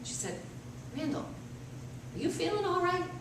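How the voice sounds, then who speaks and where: With an American accent, a woman talks against noticeable background noise. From Massachusetts. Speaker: storyteller. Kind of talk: live storytelling performance.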